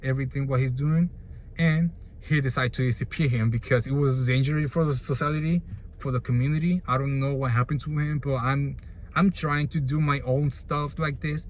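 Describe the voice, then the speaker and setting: Somewhat breathy and fairly high-pitched, a man with a Spanish accent speaks at a moderate pace with fairly even intonation. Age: 20s. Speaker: YouTuber. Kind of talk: casual explainer monologue. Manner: halting.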